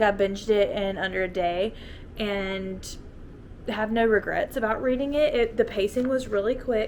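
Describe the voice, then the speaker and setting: With a Southern US accent, a woman speaks at a fairly high pitch with ordinary pitch variation amid noticeable background noise. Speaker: book YouTuber. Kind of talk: casual book review vlog. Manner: casual, chatty.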